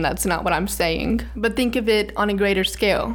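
The intonation is fairly even. Noticeable background noise and audible room echo come through. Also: woman. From US South, Birmingham, Alabama. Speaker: podcast host. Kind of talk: solo podcast monologue on philosophy.

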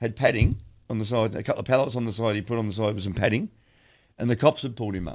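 A man with an Australian accent races along at a very fast pace. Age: 60s. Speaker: podcast co-host. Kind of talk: casual chat. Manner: halting, lots of fillers.

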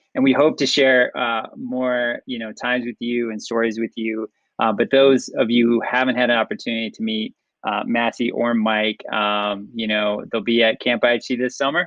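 A man talks at a moderate pace and medium pitch. He has an unremarkable speaking voice with fairly even intonation. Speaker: podcast host. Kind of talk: casual interview.

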